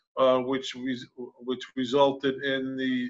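At a moderate pace, a man delivers his lines. Little else can be heard behind him. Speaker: official at a council meeting. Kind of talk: formal report at a public meeting. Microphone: video call.

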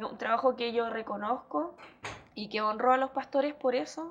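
Speaking at a moderate pace, a woman uses a high pitch with ordinary variation. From Chile, Hualpén (Biobío region); Biobío region, Chile. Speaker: mayoral candidate and school education assistant; candidate. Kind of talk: TV interview. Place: studio. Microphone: lapel.

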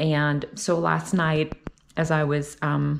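A woman's voice with vocal fry against a quiet background. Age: 40s. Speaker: faith vlogger; vlogger sharing faith. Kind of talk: personal vlog talk. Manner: casual, with many fillers. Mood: warm, upbeat, inspirational. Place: kitchen. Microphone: phone near.

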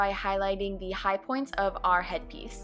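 A woman talks with music playing in the background. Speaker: makeup artist. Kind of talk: makeup tutorial voiceover.

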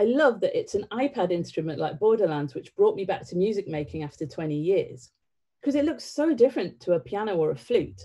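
A woman's dark, mellow voice with vocal fry, very wide pitch swings and a fairly quick pace. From northern England (County Durham), born in Sri Lanka; northern England. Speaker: theatre director. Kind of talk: public talk. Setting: online livestream. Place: home room. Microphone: webcam.

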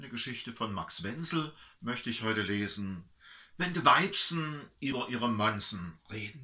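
A man at medium pitch with a bright, sharp tone, very wide pitch swings, big swings in loudness and a fairly slow pace, over a quiet background. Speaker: pastor. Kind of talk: dialect story reading. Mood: warm, humorous. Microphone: camera far.

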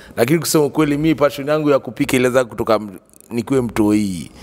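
Ordinary pitch variation marks a man speaking at a fairly quick pace. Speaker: guest. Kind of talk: interview answer. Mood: jovial storytelling. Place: studio. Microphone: handheld.

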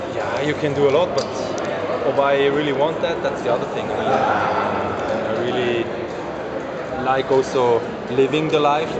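Against loud background noise, a man speaks at a moderate pace with long, frequent pauses. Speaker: professional cyclist. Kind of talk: interview answer. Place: hall. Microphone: handheld.

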